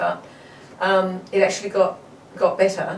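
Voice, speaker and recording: A woman with a fairly low voice speaks at a moderate pace. Noticeable background noise and audible room echo surround her. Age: 60s. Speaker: marathon runner and health advocate. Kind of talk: interview.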